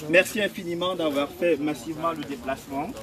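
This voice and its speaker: A man speaks at a moderate speed, and noticeable background noise can be heard. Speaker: political activist. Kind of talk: rally speech. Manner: impassioned.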